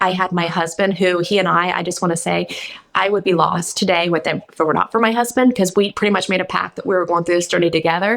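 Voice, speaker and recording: A woman at a very fast pace with fairly even intonation. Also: fairly low pitch for a woman. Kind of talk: radio interview.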